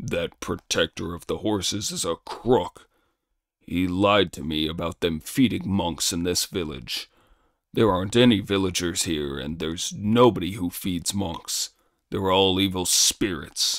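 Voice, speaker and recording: A man uses a put-on character voice with a very deep, low pitch. He keeps a moderate pace on a very clean recording with a silent background. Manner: whining, complaining.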